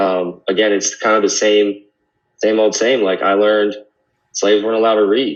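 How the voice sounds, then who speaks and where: The delivery is a fairly quick, flat monotone. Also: man. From California, Sacramento. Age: 20s. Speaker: podcast guest. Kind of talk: casual chat.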